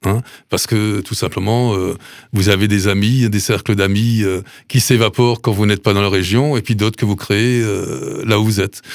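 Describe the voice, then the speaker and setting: A man with an ordinary speaking voice and a fairly low pitch talks at a moderate pace with fairly even intonation on a very clean recording with a silent background. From Alsace, Sélestat. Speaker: food bank president, retired mayor. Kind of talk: radio interview. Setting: studio.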